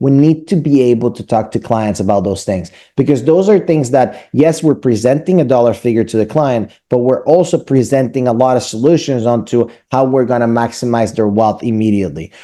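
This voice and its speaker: A man with a Spanish accent speaks at a fairly quick pace with hardly any pauses. His pitch is medium and his intonation lively. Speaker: mortgage lender. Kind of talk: business presentation to real estate team. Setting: meeting with real estate team.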